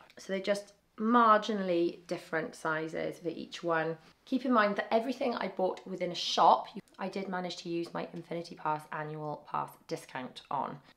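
A woman with a British accent speaks at a moderate pace, her fairly low voice carrying lively intonation. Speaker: family travel vlogger. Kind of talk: haul video show-and-tell. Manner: casual, chatty.

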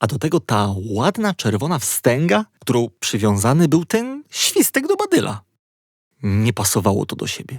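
Very wide pitch swings at a moderate pace, in a dry, close sound with no echo, on a very clean recording with a silent background. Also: man, medium pitch for a man. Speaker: audiobook narrator. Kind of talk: bedtime story reading, children's audiobook narration. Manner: calm, gently paced, storyteller tone.

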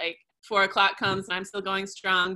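A woman speaks in a bright, sharp tone. The background is quiet. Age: 40s. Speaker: customer sharing testimonial. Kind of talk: testimony. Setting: video call. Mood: enthusiastic, upbeat. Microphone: webcam.

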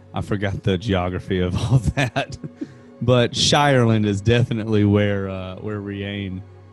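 The pace is fairly slow and the intonation fairly even. Faint music plays in the background of a dry recording with no echo. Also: man. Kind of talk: casual podcast conversation. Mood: relaxed, amused. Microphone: studio mic.

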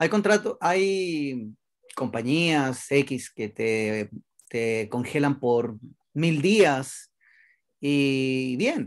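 A man speaks very slowly with lively intonation. The background is quiet. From Chile. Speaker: network marketing expansion director; presenter. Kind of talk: sales presentation. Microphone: webcam.

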